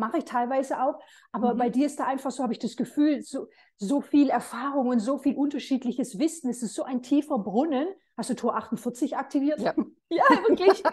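This woman talks at a fairly quick pace in a high pitch. Her pitch varies in an ordinary way. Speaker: interviewer. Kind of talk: casual interview. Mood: warm, admiring. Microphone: video call.

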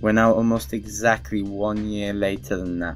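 A man with a fairly low pitch talks at a fairly quick pace over music in the background. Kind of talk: casual talk to camera. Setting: gameplay commentary recorded over game footage.

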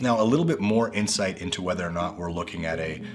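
Clear background music behind a male voice. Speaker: real estate agent. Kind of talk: real estate market update presentation to camera. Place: office.

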